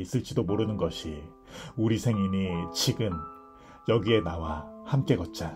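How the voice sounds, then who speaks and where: A fairly slow pace with music in the background. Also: man. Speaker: book reader / ASMR narrator. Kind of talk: audiobook reading of essays. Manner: soft-spoken, calm.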